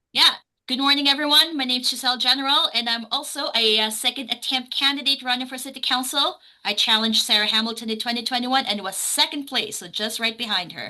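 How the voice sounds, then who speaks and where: With a raised, projected voice, a woman talks at a very fast pace and a high pitch, using ordinary pitch variation while her loudness swings widely. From Philippines. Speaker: city council candidate. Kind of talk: candidate introduction at a forum.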